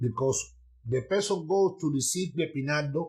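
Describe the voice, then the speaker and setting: This man speaks with a non-native accent and ordinary pitch variation, sounding somewhat breathy. The recording is very clean and the background silent. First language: not English. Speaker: Santeria priest teaching online. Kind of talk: livestream teaching. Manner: halting.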